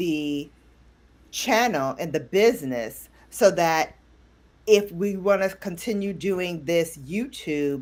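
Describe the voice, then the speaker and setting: A woman's medium-pitched voice in a New York accent, very slow and with lively intonation, on a very clean recording with a silent background. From Brooklyn, New York. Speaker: beauty YouTuber. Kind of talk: casual interview. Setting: live stream.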